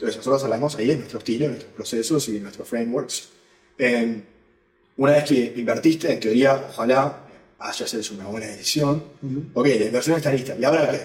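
The speaker talks at a fairly quick pace with a somewhat breathy sound, ordinary pitch variation and big swings in loudness. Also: man, medium pitch for a man. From Uruguay. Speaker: venture capital investor. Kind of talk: interview.

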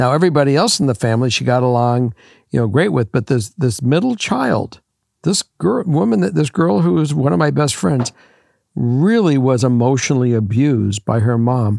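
In a very clean recording with a silent background and a dry, close sound with no echo, a man with a medium-pitched voice talks at a moderate pace with lively intonation. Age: 60s. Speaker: guest co-host, host's father. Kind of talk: casual chat. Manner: halting.

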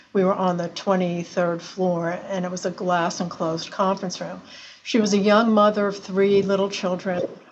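With monotone, flat intonation and a medium pitch, a woman talks at a moderate pace. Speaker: claims director, lawyer. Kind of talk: casual interview chat. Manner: hesitant, halting.

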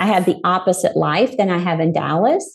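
This woman's voice has vocal fry and a fairly low pitch. Her intonation stays fairly even. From Arkansas. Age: 50s. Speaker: entrepreneur and life coach. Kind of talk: interview.

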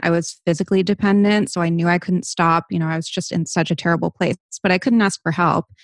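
A woman with an American accent and a fairly low pitch talks at a fairly quick pace in a plain, everyday voice, with fairly even intonation and a dry, close sound with no echo. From US Northeast, Rhode Island (Barrington). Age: 30s. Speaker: lifestyle and wellness influencer. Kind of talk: interview, candid personal talk.

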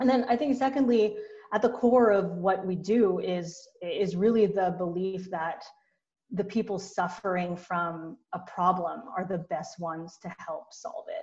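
The woman's voice is somewhat breathy. She talks at a fairly slow pace. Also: medium pitch for a woman, ordinary pitch variation. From Philippines, Manila; moved to US at 12. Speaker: beauty brand founder and CEO. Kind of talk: interview. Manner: frequent fillers and repetitions.

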